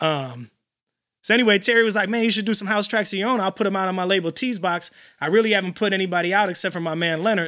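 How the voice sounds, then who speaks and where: A man with an American accent, high-pitched, raised and projected, bright and sharp, talking at a very fast pace on a very clean recording with a silent background. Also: ordinary pitch variation. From Illinois, Chicago area (Elgin). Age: 40s. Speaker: house music DJ and producer. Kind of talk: casual interview.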